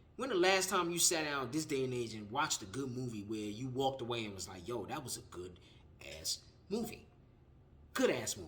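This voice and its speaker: Amid audible room echo, a man of medium pitch speaks at a fairly quick pace in an animated tone, with very wide pitch swings and big swings in loudness. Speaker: film reviewer, YouTuber. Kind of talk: casual vlog review. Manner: halting, stumbling over words.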